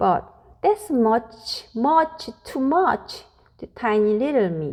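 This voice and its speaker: In a put-on character voice, a woman speaks at a very slow pace in a high pitch, with very wide pitch swings and big swings in loudness. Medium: read story. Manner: timid.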